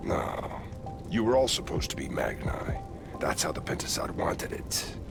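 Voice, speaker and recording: Over loud background noise, a man performs a put-on character voice at a moderate pace. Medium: short film. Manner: gruff, sardonic, blunt.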